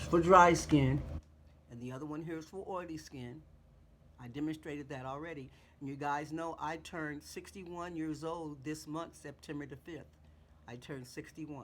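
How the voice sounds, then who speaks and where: At a moderate pace, a woman with a very deep, low pitch speaks with fairly even intonation amid audible room echo. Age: 60s. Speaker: beauty vlogger. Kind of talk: tutorial. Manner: casual, repetitive.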